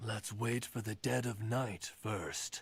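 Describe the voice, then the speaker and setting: A raspy man puts on a character voice. His pitch sits in the medium range. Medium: actual play.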